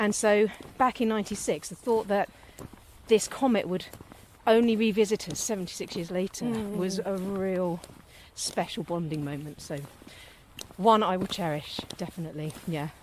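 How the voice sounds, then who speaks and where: At a moderate pace, a woman with a southern English accent speaks at medium pitch with ordinary variation, pausing long and often. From south coast of England. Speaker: local authority board member and former TV producer. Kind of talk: casual podcast conversation. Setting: outdoors at dusk.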